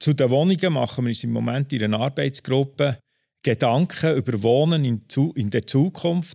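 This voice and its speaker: A man with a dark, mellow tone speaks at a medium pitch and moderate pace, with ordinary pitch variation. The sound is dry and close with no echo, in a very clean recording with a silent background. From Switzerland, Bern. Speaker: property manager. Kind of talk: interview.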